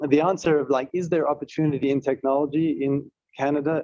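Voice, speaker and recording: Fairly quick and monotone, a man with a South African accent speaks in a fairly high pitch with a dark, mellow tone, and the sound is dry and close with no echo. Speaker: tech company executive. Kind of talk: panel talk.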